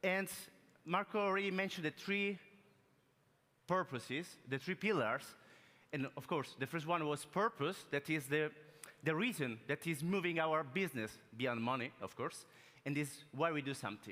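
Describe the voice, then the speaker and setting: The voice has a bright, sharp tone and lively intonation, in an Italian accent. It moves at a moderate pace, broken by long, frequent pauses. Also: man, fairly high pitch for a man. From Italy. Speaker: business transformation consultant. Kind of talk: keynote talk. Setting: stage with audience. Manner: animated.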